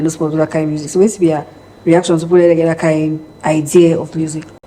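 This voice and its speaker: Very fast and in a monotone, flat delivery, a woman talks at a fairly low pitch over noticeable background noise. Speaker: TV talk show host. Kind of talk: interview question.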